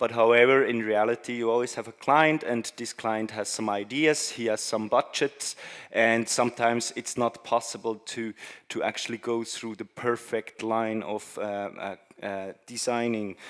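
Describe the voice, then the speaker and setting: With a non-native accent, the speaker talks at a moderate pace with fairly even intonation. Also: man, medium pitch for a man. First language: not English. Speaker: conference speaker. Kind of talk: presentation talk. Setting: stage with audience. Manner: halting, many fillers.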